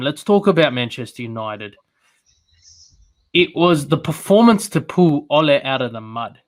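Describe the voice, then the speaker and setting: A man with an Australian accent, at a moderate pace. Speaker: football show co-host. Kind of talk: casual football discussion.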